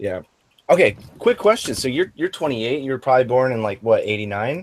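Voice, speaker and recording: With lively intonation and a medium pitch, a man talks at a fairly quick pace in an unremarkable speaking voice. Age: 20s. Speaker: podcast host. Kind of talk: casual chat.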